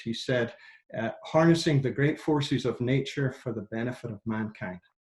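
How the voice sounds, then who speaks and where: A man's voice sits at a medium pitch, keeping a fairly even intonation and a moderate pace. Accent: Scottish. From Scotland, industrial central belt. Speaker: engineer and climate nonprofit director. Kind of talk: interview conversation. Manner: halting, many repetitions.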